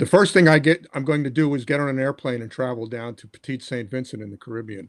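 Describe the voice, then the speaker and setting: A man with an American accent at a very fast pace and medium pitch, with big swings in loudness. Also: ordinary pitch variation. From New York (Brooklyn). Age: 60s. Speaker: kidney disease patient. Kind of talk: interview. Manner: halting, many repetitions.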